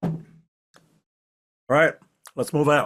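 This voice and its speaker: A man performs a put-on character voice. It is raspy and fairly high in pitch. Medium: actual play. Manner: breezy, commanding.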